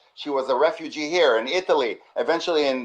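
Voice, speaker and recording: Speaking with an Israeli accent at a fairly quick pace, a man uses a fairly high voice with ordinary pitch variation. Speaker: webinar host, community manager. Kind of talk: webinar conversation. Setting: video call webinar.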